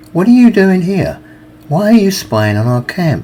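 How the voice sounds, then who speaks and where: A man in a put-on character voice with a high pitch. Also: moderate pace. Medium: read story.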